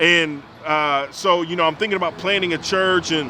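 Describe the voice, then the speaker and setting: Amid noticeable background noise, a man with a fairly high pitch talks at a fairly quick pace with ordinary pitch variation. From Alabama, US South. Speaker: pastor. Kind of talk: casual chat.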